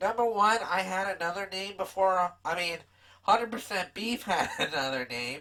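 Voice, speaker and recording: A woman uses a put-on character voice at medium pitch. She keeps a moderate pace. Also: lively intonation. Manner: character voice, comedic.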